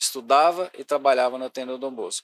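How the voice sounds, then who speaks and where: Dry and close with no echo, the recording carries a man's ordinary speaking voice with fairly even intonation. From Goiás, Brazil (Goiânia area). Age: 60s. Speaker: sports and youth secretary. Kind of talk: podcast interview, life story.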